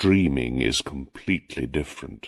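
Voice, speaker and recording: The speaker has vocal fry and ordinary pitch variation, moving at a fairly slow pace. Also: man. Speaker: audiobook narrator. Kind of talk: reading aloud.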